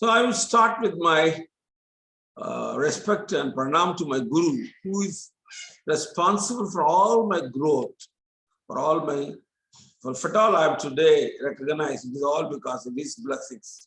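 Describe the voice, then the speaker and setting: Lively intonation carries a tone that is bright and sharp. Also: man, high pitch for a man, moderate pace. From India, Tamil Nadu. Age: 70s. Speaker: chemistry professor. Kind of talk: lecture.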